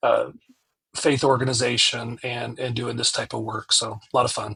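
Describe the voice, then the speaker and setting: A man with an American accent speaks at medium pitch and a moderate pace, with a bright, sharp tone, vocal fry and monotone, flat intonation. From US South (Georgia, South Carolina). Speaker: pastor. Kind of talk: casual chat. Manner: halting.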